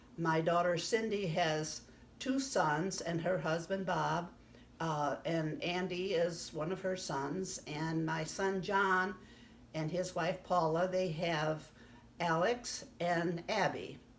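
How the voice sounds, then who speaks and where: At a very slow pace, a woman talks with a fairly low pitch amid audible room echo. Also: ordinary pitch variation. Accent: American. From US Midwest, southern Illinois. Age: 80s+. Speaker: grandmother interviewee. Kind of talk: casual life-story interview. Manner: halting, many fillers.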